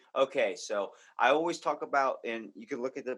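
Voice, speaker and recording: This is a man speaking with a Baltimore accent. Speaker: comedy podcast host, guest. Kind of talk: casual chat.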